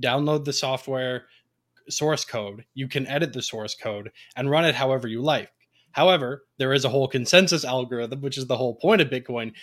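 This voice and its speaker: A man in a Canadian accent speaks with an ordinary speaking voice at a moderate pace. The pitch variation is ordinary, and the recording is very clean with a silent background. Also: medium pitch for a man. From Ontario, Canada. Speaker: free software advocate, tech support background. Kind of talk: presentation with slides in a round-table chat.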